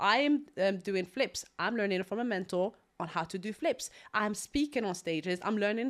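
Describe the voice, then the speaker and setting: At a fairly quick pace, a woman with an Algerian accent speaks at a medium pitch with lively intonation. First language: Algerian Arabic. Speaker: property investor. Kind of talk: podcast interview.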